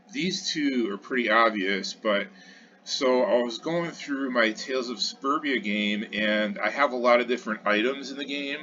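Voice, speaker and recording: With noticeable background noise behind him, a man talks at a moderate pace and medium pitch with lively intonation. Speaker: retro computer programming YouTuber. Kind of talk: tutorial. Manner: hesitant, many fillers.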